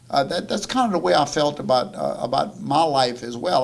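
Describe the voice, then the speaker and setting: A man speaks with a south Louisiana accent at a moderate pace. His pitch is medium, with ordinary variation. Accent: south Louisiana Cajun English. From south Louisiana, St. James Parish. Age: 60s. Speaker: chef. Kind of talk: audience Q&A talk. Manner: halting, many repetitions.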